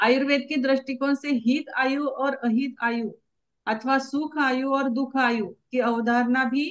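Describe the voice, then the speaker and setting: This woman has a high-pitched voice with fairly even intonation. Her loudness stays very even throughout. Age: 50s. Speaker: acupressure student. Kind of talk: reading aloud. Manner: formal.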